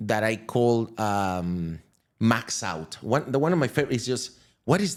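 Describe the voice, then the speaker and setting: Speech in a Venezuelan accent moves at a fairly slow pace with lively intonation. The recording is very clean, with a silent background. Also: man, medium pitch for a man. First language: Spanish. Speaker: crypto entrepreneur. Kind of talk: podcast interview. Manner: halting.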